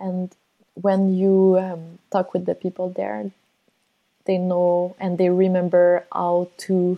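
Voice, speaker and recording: In a Quebec accent, a woman talks very slowly in a dark, mellow tone at medium pitch. Her intonation is monotone and flat, with a quiet background behind her. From Montreal, Quebec. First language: French. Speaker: polar explorer. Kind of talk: interview conversation. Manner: hesitant, many fillers.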